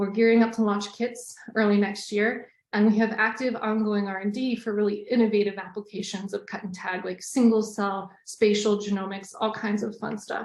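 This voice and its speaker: A woman speaks in a fairly high pitch with hardly any pauses. Her intonation stays monotone and flat. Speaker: scientist presenting a webinar. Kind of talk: webinar presentation. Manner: fast.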